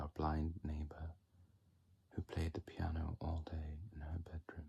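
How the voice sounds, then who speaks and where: At a fairly slow pace, a man talks in a very deep, low voice that is dark, mellow, calm and somewhat breathy, with monotone, flat intonation. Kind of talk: ASMR poetry reading. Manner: soft-spoken, whispered, calm.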